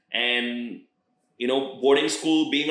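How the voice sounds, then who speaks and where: Medium-pitched male speech with an American accent, fairly even intonation and audible room echo. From international schools abroad, Indian family (third culture kid). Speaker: rapper. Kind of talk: casual interview chat.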